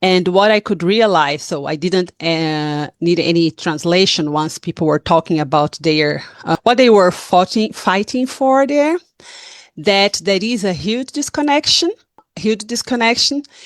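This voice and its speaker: In a Portuguese accent, a woman talks at a fairly slow pace with a medium pitch and very wide pitch swings. The sound is dry and close, with no echo. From Brazil. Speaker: activist. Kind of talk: town hall talk. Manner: halting.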